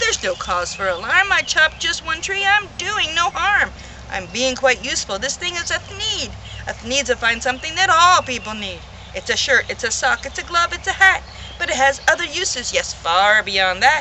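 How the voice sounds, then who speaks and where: In a put-on character voice, a woman speaks extremely high and nasal, with very wide pitch swings. Her pace is moderate, and background noise is clear. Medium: read story.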